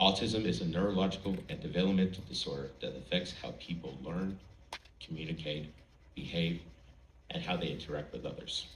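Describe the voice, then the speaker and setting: Speaking at a fairly quick pace, a man with a very deep, low pitch and vocal fry shows ordinary pitch variation, with audible room echo around him. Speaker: college student, speech contestant. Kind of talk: prepared speech. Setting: stage with audience.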